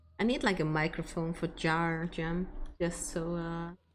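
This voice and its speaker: A woman with a non-native accent and ordinary pitch variation. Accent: non-native accent, milder than Scottish. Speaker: game streamer. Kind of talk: casual chat. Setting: live stream. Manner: soft-spoken.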